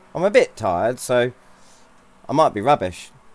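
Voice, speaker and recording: With music behind him, a man delivers his words at a moderate pace. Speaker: sim racing streamer. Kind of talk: casual live-stream commentary. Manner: loud.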